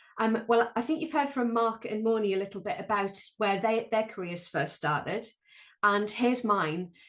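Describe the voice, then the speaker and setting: Against a quiet background, a woman talks at a moderate pace with a fairly high pitch and lively intonation. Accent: Sunderland. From northeast England, Sunderland. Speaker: planetary scientist and lecturer. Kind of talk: online panel talk. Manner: hesitant, many ums.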